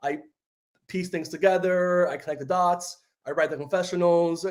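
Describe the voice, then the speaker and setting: A man's voice, high-pitched. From New York City (Bronx), partly Dominican Republic. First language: Spanish. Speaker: reality TV story producer. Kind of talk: casual interview. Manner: filler-heavy, uses 'like' a lot.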